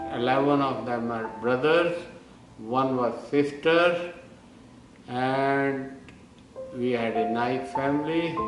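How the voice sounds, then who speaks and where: A man with an Indian accent at a very slow pace, long, frequent pauses and music in the background. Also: medium pitch for a man, ordinary pitch variation. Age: 70s. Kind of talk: personal life story narration.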